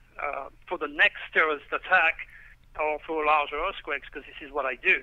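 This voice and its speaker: A man speaks with a French accent. His pitch is fairly high. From France, Provence. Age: 60s. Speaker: astrologer. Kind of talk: radio interview.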